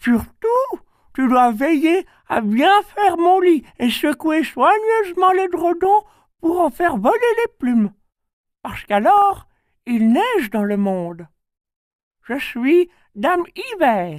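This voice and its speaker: Putting on a character voice, a man speaks at a fairly slow pace and an extremely high pitch, with very wide pitch swings and long, frequent pauses. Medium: read story. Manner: kindly, gentle.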